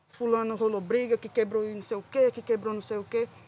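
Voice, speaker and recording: A woman uses a normal speaking voice, fairly high in pitch, at a fairly quick pace with fairly even intonation. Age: 20s. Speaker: pedagogy student and rock scene fan. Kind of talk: podcast interview.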